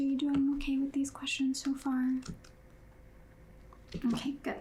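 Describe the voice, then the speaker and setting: A woman speaks softly. Her voice is high for a woman. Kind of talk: ASMR therapist roleplay, personal attention. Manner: soft-spoken.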